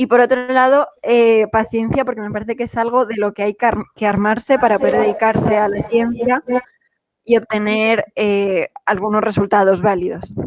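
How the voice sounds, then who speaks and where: The speaker, with a Madrid accent, keeps a moderate pace and fairly even intonation. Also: woman, fairly high pitch for a woman. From Madrid, Spain. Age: 20s. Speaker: cancer researcher. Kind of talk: talk to students.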